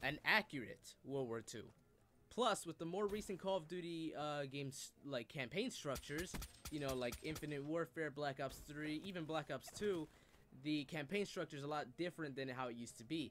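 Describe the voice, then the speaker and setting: The delivery has ordinary pitch variation at a moderate pace. Faint music can be heard in the background. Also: man. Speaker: gaming youtuber. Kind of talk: casual gaming news commentary.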